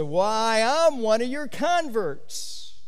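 A man performs a put-on character voice. Noticeable background noise runs beneath him. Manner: slurred speech.

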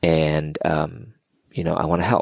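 The sound is dry and close, without any echo. A man talks at a moderate pace with an American accent. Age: 40s. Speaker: former TV reporter, motivational speaker. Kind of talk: casual chat. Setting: at guest's home. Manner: animated.

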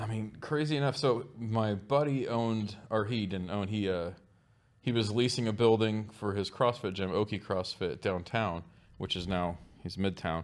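With an American accent, a man with a normal speaking voice and a fairly low pitch talks at a moderate pace and ordinary pitch variation on a very clean recording with a silent background. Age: 40s. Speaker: barbecue restaurant owner. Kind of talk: casual chat.

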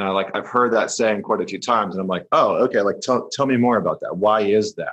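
A man with a Canadian accent speaks over a quiet background. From northern Alberta, Canada. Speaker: podcast host and men's coach. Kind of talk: casual interview.

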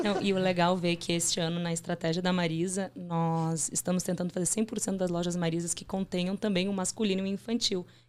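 A woman's fairly low voice in a Rio Grande do Sul accent, fairly quick, with monotone, flat intonation and hardly any pauses. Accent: gaúcho (Rio Grande do Sul). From southern Brazil, Porto Alegre. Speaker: management trainee. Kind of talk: interview.

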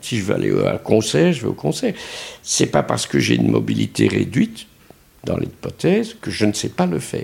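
Very deep and low, this man's voice has a dark, mellow tone with vocal fry. He moves at a moderate pace through very wide pitch swings. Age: 70s. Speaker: second-home owner. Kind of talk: interview.

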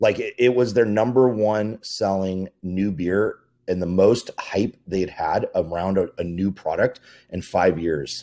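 With an American accent, a man speaks in an ordinary speaking voice at a fairly slow pace and fairly low pitch, with ordinary pitch variation, on a very clean recording with a silent background. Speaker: festival and event producer. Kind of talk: casual chat.

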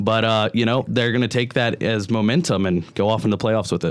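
Speaking fairly quickly, a man of medium pitch uses ordinary pitch variation. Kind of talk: casual sports panel discussion on student radio. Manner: conversational, a bit hesitant with fillers and restarts, earnest.

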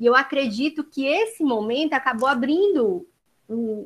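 Intonation is lively, in a Ceará accent. The pace is fairly slow. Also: woman. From Brazil, Ceará. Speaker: occupational therapist. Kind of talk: casual remarks.

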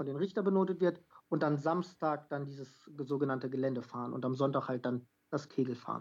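Speaking at a moderate pace, a woman uses a plain, everyday voice and ordinary pitch variation. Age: 20s. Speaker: carriage driving athlete and amateur footballer. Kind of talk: podcast interview. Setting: phone or remote call.

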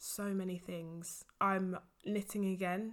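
A woman speaks at a very slow pace with a medium pitch. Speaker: podcast host. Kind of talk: casual solo monologue. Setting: home recording at night. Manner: rambling, many fillers; laughing often.

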